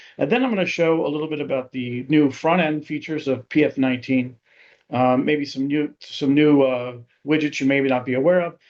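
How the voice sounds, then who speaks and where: A man talks at a fairly quick pace with fairly even intonation. His pitch sits fairly high. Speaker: software company presenter. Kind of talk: webinar product demo. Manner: fast.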